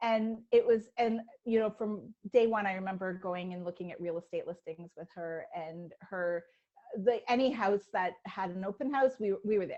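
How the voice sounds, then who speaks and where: With a dark, mellow tone, a woman talks at medium pitch and a moderate pace, showing ordinary pitch variation and big swings in loudness. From Canada. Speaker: writer. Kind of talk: interview.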